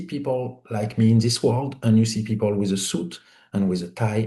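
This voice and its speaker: A man's somewhat breathy voice with a dark, mellow tone against a quiet background. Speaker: independent film producer. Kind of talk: interview storytelling. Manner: animated, conversational with many fillers.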